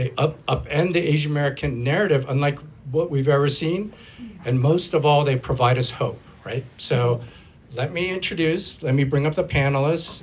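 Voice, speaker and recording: Ordinary pitch variation marks this man's speech. The voice is somewhat breathy. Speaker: panel moderator, film programs director. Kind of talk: panel moderation at live event. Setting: live event with audience, single microphone.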